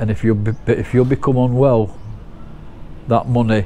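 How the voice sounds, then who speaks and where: The voice has monotone, flat intonation, with noticeable background noise behind it. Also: man. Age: 60s. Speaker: vlogger. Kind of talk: casual vlog monologue.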